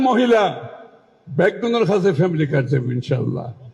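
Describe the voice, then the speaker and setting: A man speaks with lively intonation in a Chittagong accent. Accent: Chittagonian dialect. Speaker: politician, finance minister. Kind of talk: political rally speech. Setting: outdoors. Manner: humorous.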